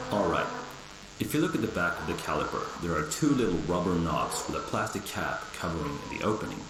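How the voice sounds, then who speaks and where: A man with a very deep, low pitch speaks fairly quickly in a relaxed tone. Noticeable background noise and audible room echo surround him. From Sweden. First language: Swedish. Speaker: car repair tutorial maker. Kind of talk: tutorial. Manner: casual, relaxed.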